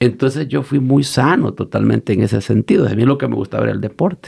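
Lively intonation and vocal fry color this man's dark, mellow tone as he talks at a moderate pace. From El Salvador, Usulután. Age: 50s. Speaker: pastor. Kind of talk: interview conversation.

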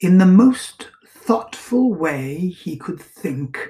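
Reading aloud, plain

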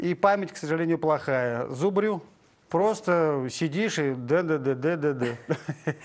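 Very slow and at a very even loudness, a man's fairly high voice moves with ordinary pitch variation. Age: 50s. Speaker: actor. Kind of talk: TV interview. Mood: relaxed, friendly. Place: studio. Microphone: lapel.

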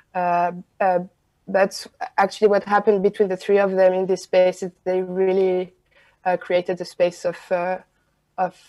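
In a French accent, a woman speaks fairly slowly in a dark, mellow tone with monotone, flat intonation. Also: quiet background. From France. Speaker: film director. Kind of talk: interview. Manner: halting. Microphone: video call.

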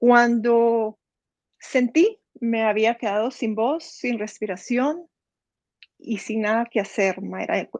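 A woman speaks very slowly in a fairly high voice with ordinary pitch variation, with dry sound with no echo and a quiet background. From Guatemala, Zacapa; Guatemala. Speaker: near-death experience survivor; interview guest. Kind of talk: testimony. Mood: personal, emotional story. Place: home room. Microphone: video call.

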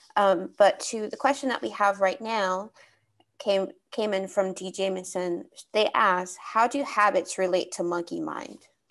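With a quiet background, a woman talks at a fairly slow pace using ordinary pitch variation. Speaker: webinar moderator. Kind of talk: webinar moderating, giving instructions. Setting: video call webinar. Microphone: video call.

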